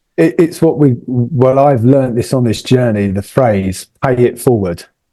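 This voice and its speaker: A man's medium-pitched voice with a southern English accent, ordinary pitch variation and a moderate pace. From southern England, near London. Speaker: motorcycle traveller. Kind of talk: casual chat.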